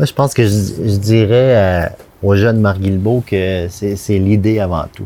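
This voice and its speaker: A man with a Quebec accent, very slow pace, fairly low pitch, dark, mellow tone and fairly even intonation. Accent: Québécois French. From Quebec, Montreal South Shore. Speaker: art director. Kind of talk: casual interview.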